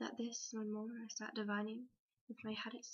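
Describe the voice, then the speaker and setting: Soft-spoken and at a moderate pace, a woman delivers her words in a monotone, flat intonation with a fairly high pitch. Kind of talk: poetry reading.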